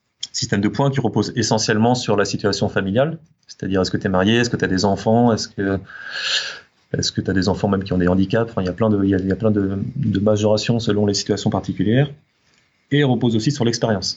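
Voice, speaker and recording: A man talks at a very fast pace with fairly even intonation. His loudness stays very even. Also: fairly low pitch for a man. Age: 30s. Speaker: teacher, former aeronautical engineer. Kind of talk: interview. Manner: halting, many hesitations.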